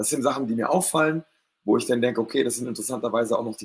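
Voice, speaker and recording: A man speaks with lively intonation. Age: 40s. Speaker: guest on live talk show. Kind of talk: casual chat.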